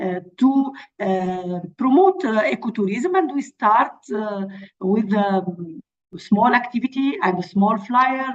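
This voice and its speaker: Fairly high-pitched and somewhat breathy, a woman speaks at a very slow pace with lively intonation. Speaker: NGO representative presenting conservation project. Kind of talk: webinar presentation. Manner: halting, many fillers.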